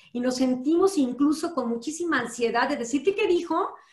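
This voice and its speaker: A woman's high-pitched voice with lively intonation, audible room echo, and a quiet background. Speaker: law professor. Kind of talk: panel discussion. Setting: video call. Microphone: video call.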